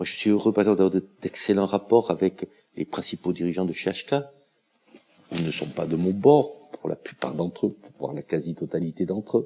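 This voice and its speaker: A dark, mellow tone at a moderate pace with ordinary pitch variation comes through in a dry, close sound with no echo. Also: man, very deep, low pitch for a man. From France. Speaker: local politician. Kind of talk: interview monologue. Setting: in front of a camera. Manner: hesitant, with frequent fillers and repetitions.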